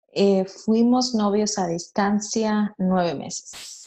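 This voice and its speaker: A woman speaks very slowly. Her pitch sits in the medium range. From Monterrey, northern Mexico. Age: young. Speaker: entrepreneur. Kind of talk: interview. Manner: hesitant with repetitions.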